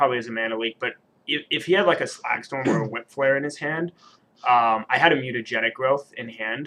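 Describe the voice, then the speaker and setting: A man's ordinary speaking voice, an ordinary speaking voice at medium pitch with ordinary pitch variation. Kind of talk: player explaining own game.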